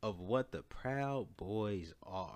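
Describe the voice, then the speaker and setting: The background is silent on this very clean recording. A man talks in an animated tone. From Chicago. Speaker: podcast host. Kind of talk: casual monologue.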